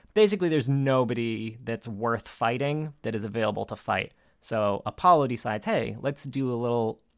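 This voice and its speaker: At a moderate pace, a man talks in an ordinary speaking voice on a very clean recording with a silent background. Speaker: podcast co-host. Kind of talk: casual chat.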